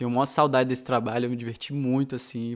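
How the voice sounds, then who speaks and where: Very clean recording, silent background, and a man speaking at a medium pitch. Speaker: musician, guitar teacher. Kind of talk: casual chat. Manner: loud.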